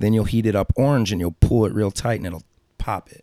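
The speech races along at a very fast pace. It comes from a very clean recording with a silent background. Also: man. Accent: St. Louis. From St. Louis area, Missouri. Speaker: tattoo artist. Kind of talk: interview storytelling. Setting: studio.

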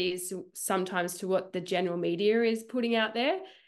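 Fairly quick in pace, a woman talks in an Australian accent. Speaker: runner. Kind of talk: casual chat.

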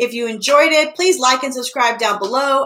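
In a raised, projected voice, a woman with a high pitch talks at a fairly quick pace with lively intonation over noticeable background noise. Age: 30s. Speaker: comedian podcast host. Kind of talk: casual interview chat.

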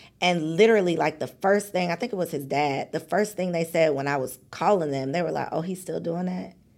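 In an ordinary speaking voice, a woman with an American accent speaks fairly low in pitch, with ordinary pitch variation and hardly any pauses. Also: fairly quick pace. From Chicago suburbs, US Midwest. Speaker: entrepreneur and podcast host. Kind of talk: casual interview chat.

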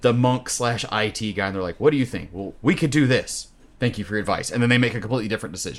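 A man's medium-pitched voice at a very fast pace, playful in tone, on a very clean recording with a silent background. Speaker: dungeon master and game company head. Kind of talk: casual chat, actual play recap. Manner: joking, playful.

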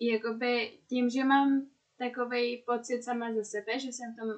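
Her pitch fairly high, a woman speaks at a fairly slow pace with fairly even intonation. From Czech Republic. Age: 20s. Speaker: podcast co-guest, friend of host. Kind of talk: casual chat.

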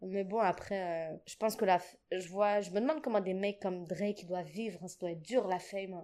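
With hardly any pauses, a woman speaks at a fairly quick pace in a medium-pitched voice with a dark, mellow tone, fairly even intonation and big swings in loudness. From Djibouti. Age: 20s. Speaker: singer and musician. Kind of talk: casual chat.

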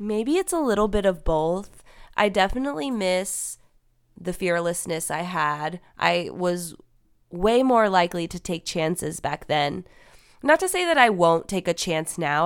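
A woman with an ordinary speaking voice talks at a moderate pace, her pitch fairly low with ordinary variation, in a very clean recording over a silent background. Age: 20s. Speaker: podcast co-host. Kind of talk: casual chat.

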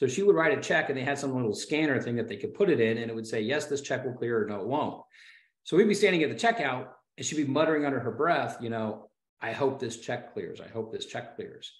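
Audible room echo carries a very fast voice with a Midwestern American accent and lively intonation. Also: man, medium pitch for a man. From Ohio, US Midwest. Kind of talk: casual storytelling interview.

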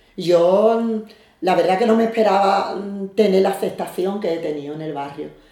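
Through noticeable background noise and audible room echo, a woman speaks at medium pitch and a moderate pace with ordinary pitch variation. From Algeciras, Andalusia, Spain. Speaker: neighborhood association president. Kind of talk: interview.

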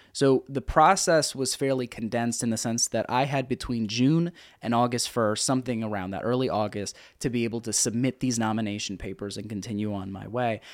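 With an American accent, a man uses an ordinary speaking voice at a medium pitch, with ordinary pitch variation and a fairly quick pace, on a very clean recording with a silent background. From grew up overseas, then US. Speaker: author and former city council candidate. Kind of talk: interview. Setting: studio.

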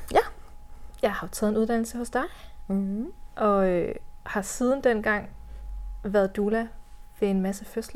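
This woman has a fairly high voice and speaks at a moderate pace with fairly even intonation. Her delivery includes long, frequent pauses. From West Jutland, Denmark. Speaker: doula. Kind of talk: personal birth story in podcast interview.

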